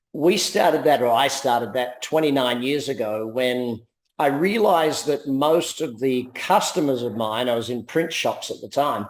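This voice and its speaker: With an Australian accent, a man speaks at a moderate pace and medium pitch, using ordinary pitch variation. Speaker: business coach and entrepreneur. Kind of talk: interview.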